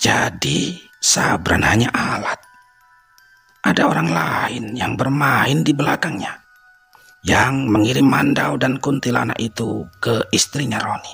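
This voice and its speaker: Using a put-on character voice, a man speaks fairly slowly at medium pitch. Faint music plays in the background. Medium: read story.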